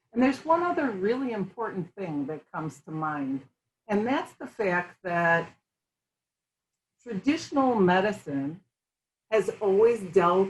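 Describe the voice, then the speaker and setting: A woman speaks in a somewhat breathy voice with lively intonation. Her loudness swings widely, and she leaves long, frequent pauses. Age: 60s. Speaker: functional medicine health practitioner. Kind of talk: casual chat. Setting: interview over tea.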